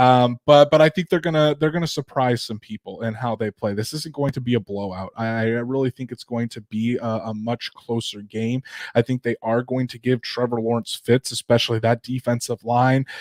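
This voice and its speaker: A man with a Northern Indiana accent speaks at a moderate pace with hardly any pauses, in a dry, close sound with no echo on a very clean recording with a silent background. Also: medium pitch for a man, ordinary pitch variation. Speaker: sports podcast host. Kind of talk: casual sports podcast chat. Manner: repeats words often, halting starts.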